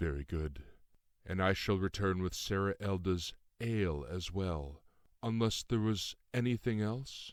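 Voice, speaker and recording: On a very clean recording with a silent background, a man drawls in a put-on character voice at a very deep, low pitch, moving at a moderate pace with ordinary pitch variation. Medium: read story. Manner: drawling, carefully enunciated, formal.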